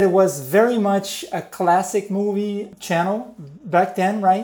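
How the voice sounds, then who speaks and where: In a very clean recording with a silent background, a man with a Portuguese accent speaks at a fairly slow pace in a high pitch. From Brazil. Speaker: type designer, studio founder. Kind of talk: interview.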